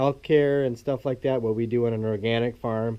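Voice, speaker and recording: This man's words come at a fairly quick pace. Behind him, there is noticeable background noise. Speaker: dairy farmer. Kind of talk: casual vlog update and tutorial. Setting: farm building. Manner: halting, many fillers.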